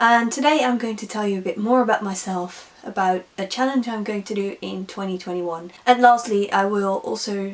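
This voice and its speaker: A woman with a Dutch accent, medium in pitch with ordinary pitch variation, at a moderate pace with hardly any pauses and big swings in loudness. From Netherlands. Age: 20s. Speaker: book vlogger. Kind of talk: casual vlog monologue.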